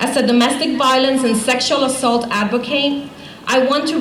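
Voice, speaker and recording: A woman's high voice in a Spanish accent at a moderate pace, with audible room echo and noticeable background noise. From Puerto Rico. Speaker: domestic violence program director. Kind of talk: rally speech.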